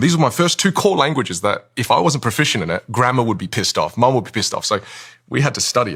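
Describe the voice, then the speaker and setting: A man talks very fast with an Australian accent, his pitch medium but swinging very widely. The recording is very clean, with a silent background. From Australia, Vietnamese-Chinese family. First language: Chinese dialect, then Vietnamese. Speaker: communication coach. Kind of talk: podcast interview. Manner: halting, repeats words.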